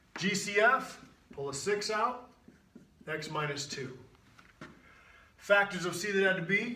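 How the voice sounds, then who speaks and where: Over audible room echo, a high-pitched man uses a raised, projected voice and lively intonation, with long, frequent pauses. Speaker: math teacher. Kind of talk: tutorial. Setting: video recording with on-camera guest. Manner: animated; fast.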